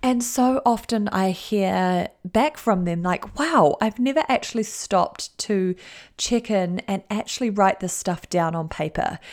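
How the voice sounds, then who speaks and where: On a very clean recording with a silent background, a woman with a New Zealand accent speaks at medium pitch and a fairly slow pace, animated in tone and lively in intonation. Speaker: life coach and podcast host. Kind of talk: motivational solo podcast talk.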